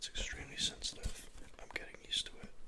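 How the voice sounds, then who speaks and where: The words come as a fairly quick whisper. Noticeable background noise is present throughout. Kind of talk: ASMR video, soft-spoken talk to camera; casual talk to camera. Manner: soft-spoken, whispery.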